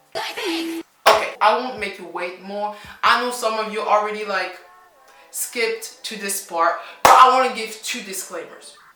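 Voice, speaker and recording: In an animated tone, a woman speaks at a fairly high pitch and a moderate pace, with ordinary pitch variation and big swings in loudness. Music plays in the background, and room echo is audible. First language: French. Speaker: language teacher and YouTuber. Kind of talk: casual reaction vlog.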